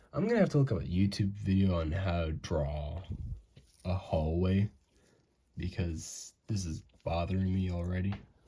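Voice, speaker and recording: A man speaks at a very deep, low pitch with a dark, mellow, somewhat breathy tone and ordinary pitch variation. His moderate pace includes long, frequent pauses, in a very clean recording with a silent background. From US, mixed northern and southern. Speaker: amateur animator. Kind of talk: casual drawing commentary. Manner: casual, rambling.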